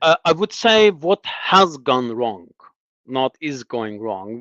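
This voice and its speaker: In an Azerbaijani accent, a man with a fairly high pitch speaks with lively intonation, the sound dry and close with no echo over a quiet background. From Azerbaijan (Lankaran, south). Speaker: former diplomat in exile, analyst. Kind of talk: political discussion interview. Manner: hesitant, repeats words.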